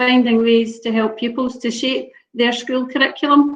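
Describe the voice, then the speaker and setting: In a Scottish accent, a woman speaks at a high pitch with ordinary pitch variation. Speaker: local authority education officer. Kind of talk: webinar discussion.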